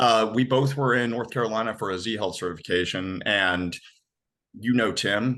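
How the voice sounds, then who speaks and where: Against a quiet background, a man speaks loudly in a bright, sharp tone with ordinary pitch variation. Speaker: former navy seal, nutrition and habits coach. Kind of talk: podcast interview.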